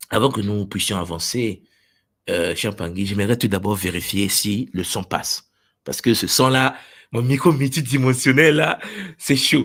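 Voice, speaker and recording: At a fairly slow pace, a man with a medium pitch speaks with long, frequent pauses. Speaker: spiritual teacher. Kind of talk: livestream teaching. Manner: loud; animated. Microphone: special microphone, sound confirmed good.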